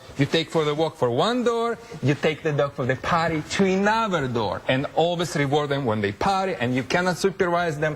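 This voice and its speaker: At a fairly quick pace with hardly any pauses, a man with a fairly high pitch uses lively intonation and very even loudness. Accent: Russian. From Russia. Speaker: dog trainer. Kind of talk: TV interview demonstration. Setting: TV studio. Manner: animated.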